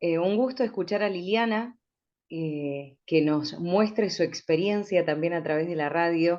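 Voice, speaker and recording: A woman with an ordinary speaking voice talks at a fairly slow pace over a quiet background. Her pitch is fairly low, with ordinary pitch variation. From rural Chubut, Patagonia, Argentina. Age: 40s. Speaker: radio announcer. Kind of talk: panel discussion.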